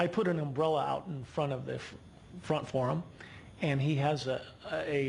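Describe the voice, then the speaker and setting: A man with a fairly high pitch sounds somewhat breathy. Audible room echo surrounds his voice. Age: 60s. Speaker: local resident speaking at public comment. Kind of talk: public comment at city council. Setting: city council meeting. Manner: halting, many repeated words.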